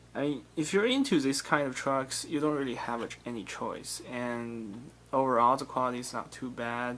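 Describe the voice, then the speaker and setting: The speaker talks at a fairly slow pace with a non-native accent. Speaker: diecast model car collector, YouTuber. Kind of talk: casual product review video. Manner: halting, frequent fillers and self-corrections.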